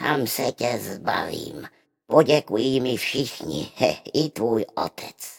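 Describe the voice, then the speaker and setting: In a dry, close recording with no echo, a man does a put-on character voice at a medium pitch. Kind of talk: muttered inner thought. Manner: scheming, sinister.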